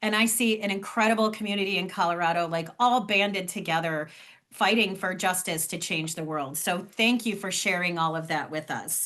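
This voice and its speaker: A woman's bright, sharp voice at medium pitch, with a fairly quick pace. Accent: Cleveland. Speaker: fundraising trainer. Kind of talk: online training session. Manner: animated.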